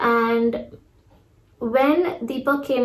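A high-pitched woman's voice against noticeable background noise. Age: 30s. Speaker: lifestyle vlogger. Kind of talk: casual chat. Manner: hesitant with fillers.

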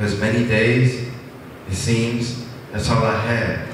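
Amid noticeable background noise and strong room echo, a man speaks at a very slow pace in a monotone, flat intonation. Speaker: open mic poet. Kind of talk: spoken word poetry.

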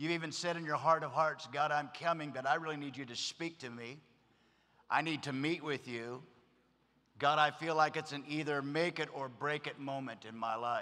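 A man's bright, sharp voice at a moderate pace, with fairly even intonation. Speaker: pastor. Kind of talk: sermon. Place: stage. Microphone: podium.

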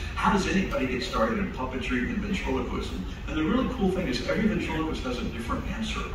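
A man at a very fast pace, with noticeable background noise and audible room echo. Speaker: ventriloquist comedian. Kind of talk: stand-up comedy performance. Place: stage.

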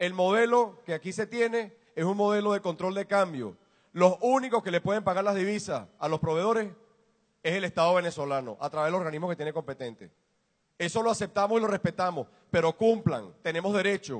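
Here a man speaks at a high pitch and a fairly quick pace, with ordinary pitch variation. The sound is dry and close, with no echo. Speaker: business executive. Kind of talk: public speech. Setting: warehouse with audience.

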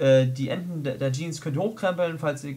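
Over noticeable background noise, a man talks fairly quickly, his pitch varying in an ordinary way. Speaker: fashion vlogger. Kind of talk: casual talk to camera.

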